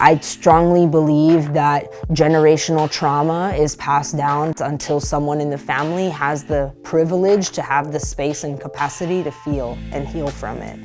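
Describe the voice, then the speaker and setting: With an American accent, a woman speaks in a very deep, low pitch and a monotone, flat intonation at a moderate pace. She hardly pauses, and music plays in the background. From Los Angeles. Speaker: spoken word poet and history teacher. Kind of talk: interview answer.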